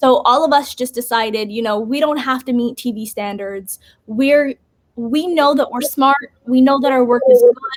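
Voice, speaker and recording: Her pitch is high, and the woman's tone is animated. She keeps a moderate pace with ordinary pitch variation. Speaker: basketball podcaster and journalist. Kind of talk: interview.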